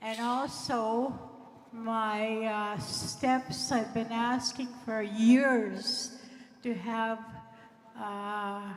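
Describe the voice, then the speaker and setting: A woman speaks very slowly in a fairly high voice with fairly even intonation. Noticeable background noise and audible room echo fill the recording. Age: 70s. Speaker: community member asking a question. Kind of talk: public question at assembly. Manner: halting.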